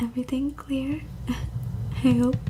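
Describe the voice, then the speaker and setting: A woman's voice with noticeable background noise. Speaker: ASMR creator. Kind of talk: ASMR personal attention with positive affirmations. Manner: soft-spoken, slow, soothing.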